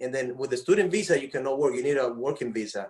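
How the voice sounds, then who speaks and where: Ordinary pitch variation in a man's fairly high voice. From Dominican Republic. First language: Spanish. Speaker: former baseball player. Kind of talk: casual chat. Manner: halting, many repetitions.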